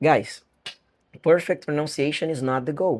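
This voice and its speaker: A man with a Brazilian accent at a very slow pace. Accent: Brazilian accent in some English words. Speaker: English teacher. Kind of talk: online lesson.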